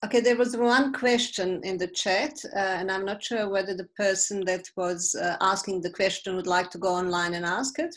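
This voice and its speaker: A woman with a normal speaking voice talks at a medium pitch. She keeps a moderate pace with hardly any pauses. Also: ordinary pitch variation. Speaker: event organizer. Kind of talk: casual meeting moderation. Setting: video call.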